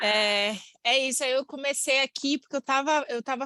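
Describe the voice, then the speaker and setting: A woman with a Bahian accent at a moderate pace, in a dry, close sound with no echo. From Bahia, Brazil. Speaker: course participant. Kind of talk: self-introduction in online class.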